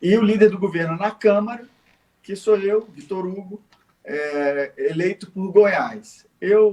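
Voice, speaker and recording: A high-pitched man at a very slow pace, with big swings in loudness. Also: ordinary pitch variation. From Rio de Janeiro, Brazil. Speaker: federal politician, ex-army officer. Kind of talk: interview.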